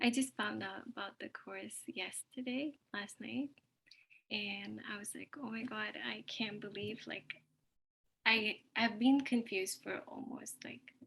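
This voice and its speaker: Her voice is fairly high-pitched with vocal fry and a bright, sharp tone, and the woman speaks at a fairly slow pace with ordinary pitch variation and big swings in loudness. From Ontario, Canada. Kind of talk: sharing circle introduction. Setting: video call from work.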